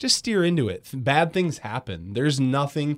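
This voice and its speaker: In a very clean recording with a silent background, a man with an Upper Midwest accent talks at a moderate pace with lively intonation. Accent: Upper Midwest American. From West Michigan, Grand Rapids. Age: 20s. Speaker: radio host. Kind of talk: casual chat. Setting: studio.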